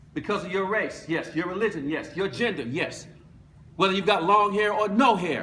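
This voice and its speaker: Over noticeable background noise and audible room echo, a man with an American accent and a high voice speaks in a raised, projected, animated tone at a moderate pace with ordinary pitch variation. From United States. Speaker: motivational speaker, former basketball player. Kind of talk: motivational speech.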